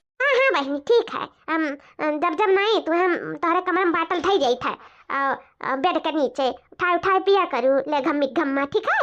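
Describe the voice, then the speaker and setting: This is a cartoonish character voice. Its intonation is lively. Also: woman, extremely high pitch for a woman, moderate pace. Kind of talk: comic rural cartoon acting. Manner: sweet-talking, scheming.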